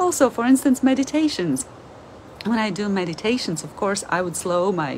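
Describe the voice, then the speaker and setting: Speaking in a Latvian accent at a medium pitch, a woman keeps a moderate pace over light background noise. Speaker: language teacher and video creator. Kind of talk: monologue, informal educational talk. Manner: halting, with frequent fillers. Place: home room. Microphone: phone near.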